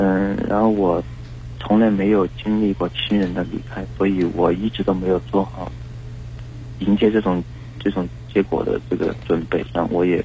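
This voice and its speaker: A man with a very deep, low pitch talks at a moderate pace, his pitch swinging very widely. Noticeable background noise runs underneath. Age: 20s. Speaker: radio hotline caller. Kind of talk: personal advice call. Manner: halting.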